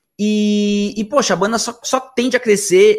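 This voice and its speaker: The recording of this man's voice is very clean, with a silent background behind it. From Argentina, Buenos Aires. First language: Spanish (speaking Portuguese). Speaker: musician, band singer and ukulele player. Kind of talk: casual chat.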